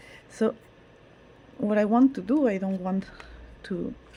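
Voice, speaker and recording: A woman with a non-native accent speaks at a fairly slow pace in a medium pitch with lively intonation. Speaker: tarot reader. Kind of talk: casual monologue. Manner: halting, with repetitions.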